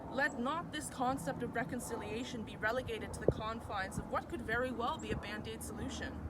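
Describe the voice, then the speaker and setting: A woman speaks fairly quickly with hardly any pauses, her voice fairly high with ordinary pitch variation. Noticeable background noise can be heard. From Mi'kmaq, New Brunswick, Canada. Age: 20s. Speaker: university student. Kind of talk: artist statement read to camera.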